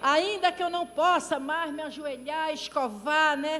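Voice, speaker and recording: A woman talks over noticeable background noise. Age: 60s. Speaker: pastor. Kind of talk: sermon. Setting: church.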